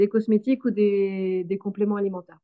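A woman with a plain, everyday voice talks at a fairly slow pace with fairly even intonation. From western Brittany, France. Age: 30s. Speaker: farmer and soap maker. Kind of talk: interview.

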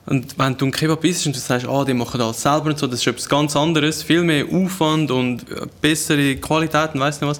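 The speaker talks at a fairly quick pace with fairly even intonation, in a Glarus Swiss accent. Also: man, fairly high pitch for a man. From Switzerland, canton Glarus. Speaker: chef and food content creator. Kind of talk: casual chat.

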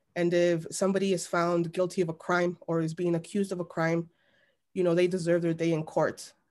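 A woman with an American accent speaks at a fairly low pitch and moderate pace in a monotone, flat intonation, on a very clean recording with a silent background. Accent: Chicago Mexican American English. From Chicago, Little Village (Mexican American). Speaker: journalist and editor. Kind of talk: interview.

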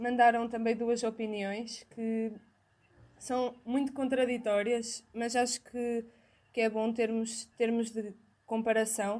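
A woman with a European Portuguese accent, very slow and monotone, with flat intonation. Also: fairly high pitch for a woman. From Portugal, outside Porto. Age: young. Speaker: university student, podcast co-host. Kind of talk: casual chat.

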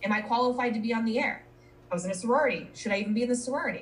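A woman's voice is somewhat breathy, with an American accent. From Minnesota and Colorado. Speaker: marketing professional, podcaster. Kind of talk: casual interview chat.

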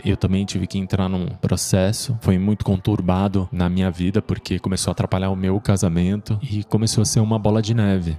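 Fairly quick and fairly even in intonation, this man has an ordinary speaking voice. His pitch is fairly low. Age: 40s. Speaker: podcast host. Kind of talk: personal testimony.

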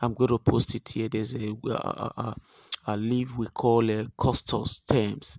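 With a Nigerian accent, a man talks at a fairly slow pace and medium pitch in a monotone, flat intonation, the sound dry and close with no echo. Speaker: spiritual healer / pastor. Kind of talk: spiritual remedy instruction monologue. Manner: halting, many filler sounds.

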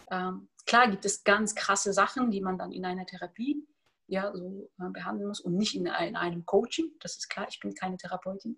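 A woman's bright, sharp tone carries big swings in loudness and ordinary pitch variation. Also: medium pitch for a woman, moderate pace. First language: Tajik and Russian (speaking German). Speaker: author and personal development coach. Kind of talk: interview conversation.

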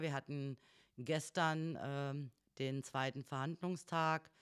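This is a woman's voice. The recording is very clean, with a silent background. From northern Hesse, Germany. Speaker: trade union secretary. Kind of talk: casual interview.

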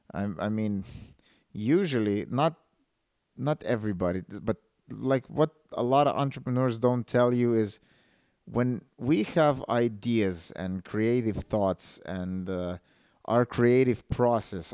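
A man's medium-pitched voice, ordinary pitch variation, a fairly slow pace, and a dry, close sound with no echo. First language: a Slavic language. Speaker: entrepreneurship podcaster. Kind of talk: solo podcast monologue. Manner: halting, many fillers and restarts.

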